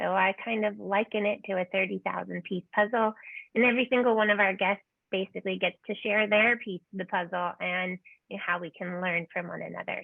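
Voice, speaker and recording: A woman's plain, everyday voice at medium pitch, fairly quick in pace and fairly even in intonation. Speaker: podcast host. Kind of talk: podcast interview.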